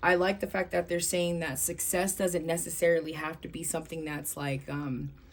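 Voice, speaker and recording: At a moderate pace and with hardly any pauses, a woman speaks in a fairly low pitch with fairly even intonation. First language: not English. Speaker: tarot reader. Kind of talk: tarot reading video. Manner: halting, many fillers.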